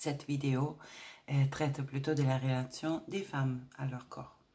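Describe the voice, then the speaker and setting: A woman speaks at a very deep, low pitch in a monotone, flat intonation, her dark, mellow tone somewhat breathy. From Italy. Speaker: spiritual women's coach. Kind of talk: spiritual talk to camera. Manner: hesitant, many filler sounds.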